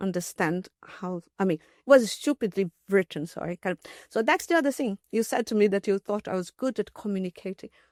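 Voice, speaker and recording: Speaking with a Portuguese accent, a woman uses a medium pitch and ordinary pitch variation at a moderate pace. The recording is very clean with a silent background, and the sound is dry and close with no echo. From Brazil. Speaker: mathematician and logician. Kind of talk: podcast interview. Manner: halting, many fillers and restarts.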